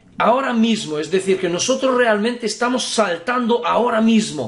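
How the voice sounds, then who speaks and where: Noticeable background noise runs throughout. The talking goes along at a fairly quick pace. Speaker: spiritual teacher. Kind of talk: lecture.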